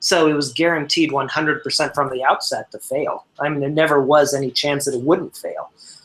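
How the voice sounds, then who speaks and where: A man with an American accent speaks in a fairly high pitch. His intonation is monotone and flat, with hardly any pauses. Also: fairly quick pace. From Pennsylvania, US. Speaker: libertarian panelist. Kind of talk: casual group discussion.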